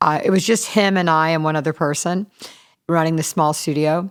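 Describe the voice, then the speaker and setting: With an American accent and a normal speaking voice, a woman talks at a moderate pace in a fairly low pitch with fairly even intonation, on a very clean recording with a silent background. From US South, Charleston, South Carolina. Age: 60s. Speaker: recording studio manager. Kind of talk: casual interview. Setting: podcast interview.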